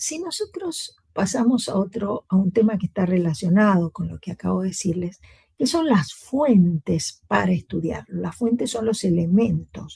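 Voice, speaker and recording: In a dry, close sound with no echo, a woman speaks at a fairly slow pace with hardly any pauses. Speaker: university lecturer. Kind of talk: lecture.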